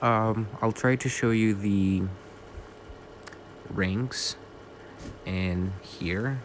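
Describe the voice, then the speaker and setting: Over noticeable background noise, a man with a non-native accent speaks at a very slow pace with fairly even intonation. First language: not English. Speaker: bird keeper, video creator. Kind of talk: voiceover narration. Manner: halting, many fillers.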